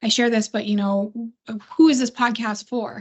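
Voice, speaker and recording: Somewhat breathy, a woman speaks at a fairly high pitch with monotone, flat intonation. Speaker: podcast host and STEM teacher. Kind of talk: casual chat. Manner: fast.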